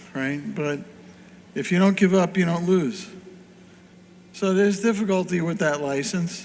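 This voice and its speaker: Audible room echo surrounds a man speaking at a moderate pace with long, frequent pauses. His pitch is high, with ordinary variation. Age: 60s. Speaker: pinball company founder. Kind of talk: panel talk. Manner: animated.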